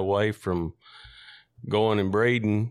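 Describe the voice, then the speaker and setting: Speaking with a West Tennessee accent, a man keeps a moderate pace and fairly even intonation. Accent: Southern US (West Tennessee). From US South, McNairy County, Tennessee. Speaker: coon hunter. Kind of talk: casual storytelling interview. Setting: in-person interview.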